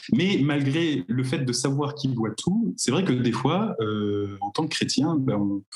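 Noticeable background noise runs under the voice. The speech has lively intonation and a fairly slow pace. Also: man. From Normandy, France (Cherbourg, Cotentin). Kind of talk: casual chat.

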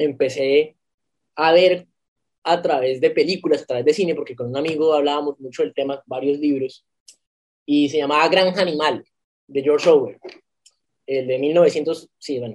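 A fairly high-pitched man at a moderate pace, with fairly even intonation and long, frequent pauses. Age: 20s. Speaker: law student and political activist. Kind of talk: casual interview. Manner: halting, with repetitions.

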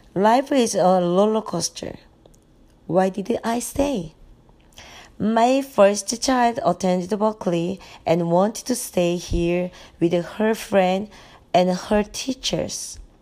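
A woman at a very slow pace with long, frequent pauses, in a Korean accent, with a dark, mellow tone, medium pitch and ordinary pitch variation, on a very clean recording with a silent background. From South Korea. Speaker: mother, immigrant. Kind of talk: interview answers.

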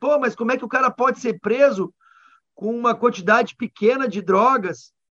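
In a dry, close sound with no echo, a man speaks at a moderate pace in a bright, sharp tone with an extremely high pitch and ordinary pitch variation. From Rio Grande do Sul, Brazil. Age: 40s. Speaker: politician, former army officer. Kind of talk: radio interview.

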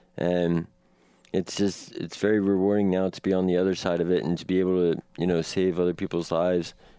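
With an American accent, a man speaks at a fairly quick pace in a very deep, low voice. His tone is dark and mellow, his intonation monotone and flat. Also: quiet background. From Washington, D.C. area. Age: 30s. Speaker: student in recovery. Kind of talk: testimony.

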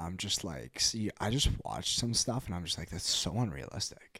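A man with a Canadian accent talks at a moderate pace, his pitch fairly low and marked by vocal fry. His pitch swings very widely. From western Canada (Kelowna, BC). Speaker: junior hockey goalie. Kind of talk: casual chat.

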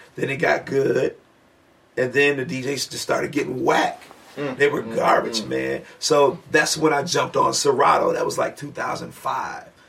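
Noticeable background noise behind a man speaking at a moderate pace. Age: 50s. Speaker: radio host and DJ. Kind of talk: casual chat. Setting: studio.

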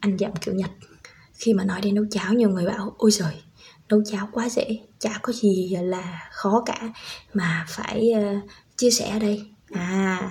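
This woman speaks at a fairly slow pace in a medium pitch, with fairly even intonation. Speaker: parenting podcaster, stay-at-home mother, former preschool teacher. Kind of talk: tutorial.

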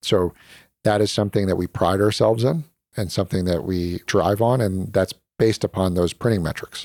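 A man with a plain, everyday voice and an American accent speaks at a fairly quick pace and fairly low pitch with ordinary pitch variation, in a dry, close sound with no echo and a very clean recording with a silent background. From North Carolina. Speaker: tech company co-founder and executive. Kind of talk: interview.

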